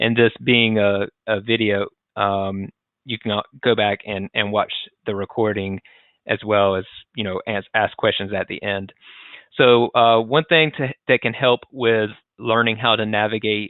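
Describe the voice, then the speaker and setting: A fairly low male voice at a fairly slow pace, the intonation fairly even. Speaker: webinar presenter. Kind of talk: tutorial. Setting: live webinar, screen share. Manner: hesitant, many fillers.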